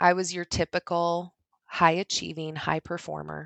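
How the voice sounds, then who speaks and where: A woman with a calm tone at a fairly slow pace. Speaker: ed tech leader, former higher education staff. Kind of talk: interview.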